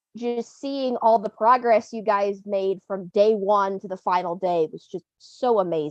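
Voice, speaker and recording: With a slight Southern US accent, a woman talks at a fairly slow pace with hardly any pauses and big swings in loudness, the sound dry and close with no echo. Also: medium pitch for a woman, ordinary pitch variation. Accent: slightly Southern. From Ohio, US. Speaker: railroad fan, Patreon supporter. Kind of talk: casual chat.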